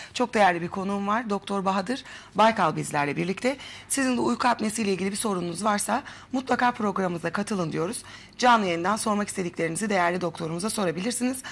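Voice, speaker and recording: Talking very fast, a woman at medium pitch uses ordinary pitch variation. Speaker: TV host. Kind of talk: TV health interview.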